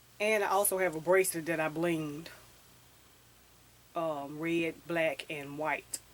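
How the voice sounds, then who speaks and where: A woman with a very deep, low pitch speaks with fairly even intonation. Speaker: fashion and hair vlogger. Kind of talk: casual vlog talk. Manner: fast.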